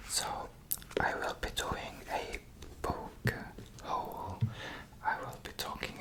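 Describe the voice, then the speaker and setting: Over noticeable background noise, someone whispers very slowly, leaving long, frequent pauses. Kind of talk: ASMR book haul. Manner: whispered; hesitant, many fillers.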